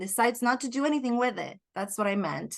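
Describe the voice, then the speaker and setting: A woman with a high pitch, lively intonation and a very fast pace. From Puerto Rico. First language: Spanish. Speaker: life coach. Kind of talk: podcast interview. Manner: reflective, searching for words.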